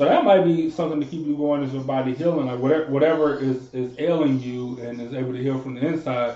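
A man's fairly high-pitched, very fast delivery with fairly even intonation, hardly any pauses and noticeable background noise. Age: 20s. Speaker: podcast host. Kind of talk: casual chat.

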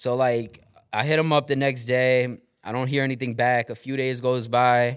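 A man speaks with a New York accent at medium pitch. His intonation is monotone and flat. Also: moderate pace. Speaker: former radio host turned real estate investor. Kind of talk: casual chat.

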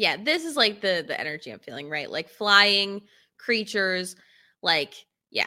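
In a very clean recording with a silent background, a woman at medium pitch speaks at a moderate pace in a bright, sharp tone, with very wide pitch swings, big swings in loudness and long, frequent pauses. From upstate New York. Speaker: podcast co-host. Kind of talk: casual chat.

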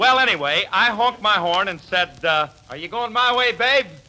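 A man's put-on character voice, high in pitch, with a bright, sharp tone. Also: lively intonation, moderate pace.

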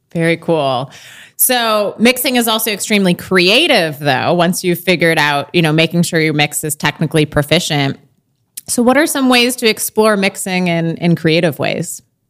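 A woman speaks with a Midwestern US accent. Her pace is moderate and her intonation lively. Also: fairly low pitch for a woman. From US Midwest. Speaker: podcast host and author. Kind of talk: interview podcast intro and conversation.

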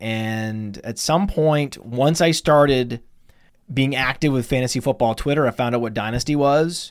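On a very clean recording with a silent background, a man talks in a plain, everyday voice. His pace is moderate, his pitch medium, with ordinary pitch variation. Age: 40s. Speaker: fantasy football analyst and podcast company founder. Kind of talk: casual interview. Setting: studio.

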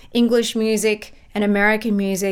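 With an Australian accent, a woman speaks at a fairly high pitch. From Australia, Melbourne. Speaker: music podcast guest. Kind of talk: casual chat.

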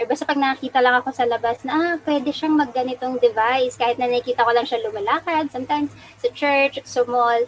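A woman's high-pitched voice moves at a fairly quick pace, her intonation fairly even. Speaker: prosthetist and orthotist. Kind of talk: interview.

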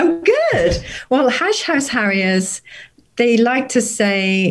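Somewhat breathy, a woman speaks at a very slow pace with lively intonation. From Norfolk, England. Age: 50s. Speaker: recreational runner and university worker. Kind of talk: casual interview chat.

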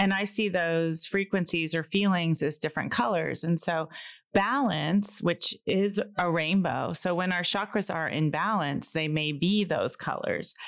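With an ordinary speaking voice, a woman of fairly low pitch talks at a fairly slow pace with ordinary pitch variation and hardly any pauses, on a very clean recording with a silent background. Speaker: energy practitioner and clairvoyant. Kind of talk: casual chat.

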